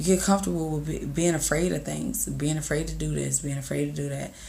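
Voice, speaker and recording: In a room with audible echo, a somewhat breathy woman speaks at a fairly quick pace with a very deep, low pitch. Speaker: content creator vlogger. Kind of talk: casual motivational vlog. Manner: casual, halting with fillers.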